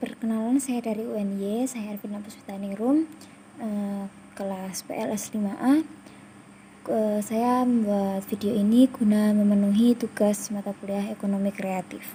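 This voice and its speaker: Speaking at a moderate pace, a woman uses a somewhat breathy, dark, mellow tone at medium pitch with fairly even intonation. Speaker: university student interviewer. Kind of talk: interview. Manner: formal.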